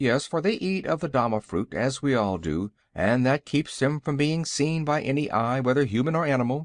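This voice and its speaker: In a gruff, put-on character voice, a man speaks at a medium pitch and moderate pace with lively intonation and very even loudness, in a very clean recording with a silent background. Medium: read story. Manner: stern, blunt.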